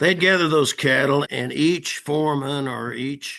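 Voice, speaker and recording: A man's bright, sharp tone with vocal fry and ordinary pitch variation. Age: 80s+. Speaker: horse trainer. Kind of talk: casual chat. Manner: halting.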